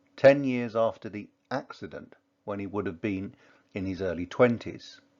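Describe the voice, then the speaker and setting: Speaking at a moderate pace, a man has a fairly low pitch, ordinary pitch variation and a plain, everyday voice. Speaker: English teacher. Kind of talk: educational lecture on a poem.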